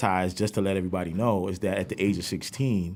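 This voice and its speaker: A man with a fairly low pitch talks at a fairly quick pace with fairly even intonation on a very clean recording with a silent background. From New York (Brooklyn and Queens). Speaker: music producer. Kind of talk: podcast interview. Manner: fillers, frequent 'you know what I'm saying'.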